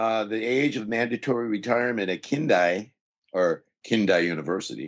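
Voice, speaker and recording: Here a man with an American accent speaks at a moderate pace, with a fairly low pitch and ordinary pitch variation. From Southern California. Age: 60s. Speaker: university English professor. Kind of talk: interview.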